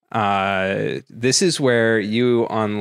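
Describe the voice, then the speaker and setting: Recorded very cleanly with a silent background and a dry, close sound with no echo, a man talks in a fairly low voice with fairly even intonation. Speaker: podcast co-host, tech entrepreneur. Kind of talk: casual chat. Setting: home recording.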